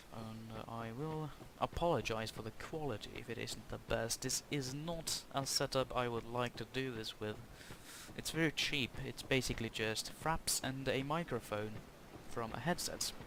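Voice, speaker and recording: At a moderate pace, a man with a Norwegian accent speaks with ordinary pitch variation. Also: medium pitch for a man. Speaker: gaming YouTuber. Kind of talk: gameplay commentary. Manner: halting.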